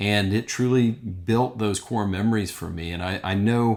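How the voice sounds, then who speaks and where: In a very clean recording with a silent background, a man speaks with an American accent and fairly even intonation. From Eastern Kentucky, US. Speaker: archaeologist and educator, program director. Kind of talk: recorded informational presentation. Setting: solo recording. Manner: halting, many fillers and repetitions.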